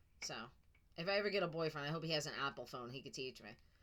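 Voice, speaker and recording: A woman with a New York accent and very wide pitch swings. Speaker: tarot reader. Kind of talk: psychic reading video. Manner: casual, chatty.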